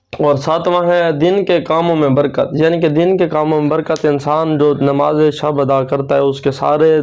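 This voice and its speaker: With monotone, flat intonation, a man speaks at a fairly high pitch. Noticeable background noise runs underneath. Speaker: Islamic preacher / religious video host. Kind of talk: religious sermon-style talk to camera.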